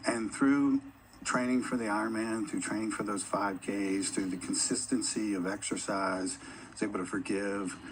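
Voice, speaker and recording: Room echo is audible around a man with a fairly low pitch. He keeps a moderate pace and fairly even intonation. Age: 50s. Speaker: corporate employee and endurance athlete. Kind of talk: on-stage interview.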